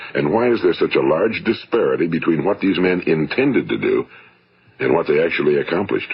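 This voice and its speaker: Fairly quick speech with an American accent over noticeable background noise. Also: man. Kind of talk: motivational spoken word record.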